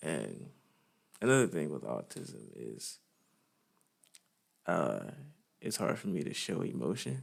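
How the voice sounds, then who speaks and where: Speaking at a fairly slow pace with long, frequent pauses, a man with a very deep, low pitch and vocal fry uses lively intonation. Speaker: vlogger. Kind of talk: personal testimony. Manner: halting, many fillers.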